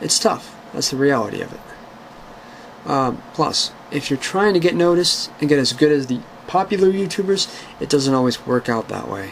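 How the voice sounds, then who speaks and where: Speaking at a moderate pace, a man uses a fairly high pitch and lively intonation. Noticeable background noise is present. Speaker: YouTuber answering viewer questions. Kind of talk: casual Q&A monologue. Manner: hesitant with many fillers.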